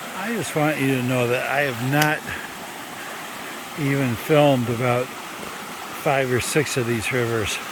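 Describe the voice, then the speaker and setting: Against noticeable background noise, a man of medium pitch speaks at a fairly slow pace. His intonation is fairly even, broken by long, frequent pauses. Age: 50s. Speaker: long-distance hiker. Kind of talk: casual vlog talk to camera. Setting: outdoors.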